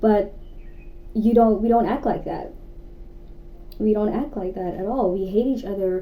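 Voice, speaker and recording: A woman's fairly high-pitched voice at a moderate pace, with ordinary pitch variation, long, frequent pauses and audible room echo. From South Africa. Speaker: YouTuber. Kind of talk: casual chat. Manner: animated.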